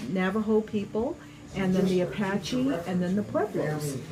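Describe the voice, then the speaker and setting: Amid noticeable background noise, a woman of medium pitch speaks at a fairly slow pace with very even loudness. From New Mexico, Laguna Pueblo. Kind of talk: interview, oral history explanation. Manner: hesitant, many fillers.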